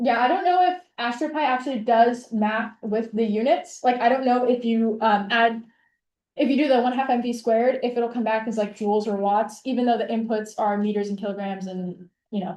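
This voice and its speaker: A woman at a fairly high pitch and a fairly quick pace, with ordinary pitch variation, over a quiet background. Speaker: instructor. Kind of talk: lecture. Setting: video call. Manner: fast.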